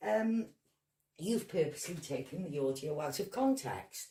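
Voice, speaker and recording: A woman's somewhat breathy voice with a dark, mellow tone and very wide pitch swings. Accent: Welsh. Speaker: video blogger. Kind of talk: angry rant. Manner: animated.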